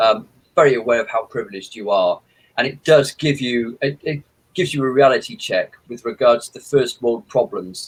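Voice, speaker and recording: This man speaks at a fairly quick pace with lively intonation and a somewhat breathy voice. His loudness swings widely. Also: medium pitch for a man. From England, Midlands, traveller family. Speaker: horror author. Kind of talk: interview.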